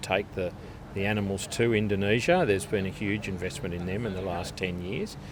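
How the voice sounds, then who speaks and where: Speaking fairly quickly in an Australian accent, a man keeps his fairly low voice on a fairly even intonation. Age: 50s. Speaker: live export industry chairman. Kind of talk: interview. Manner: halting, many repetitions.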